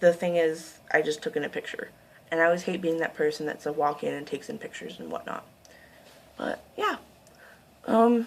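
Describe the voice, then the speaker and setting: Over noticeable background noise, a woman speaks at a fairly quick pace with long, frequent pauses and big swings in loudness. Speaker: video creator. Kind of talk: casual, informal. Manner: fast talker.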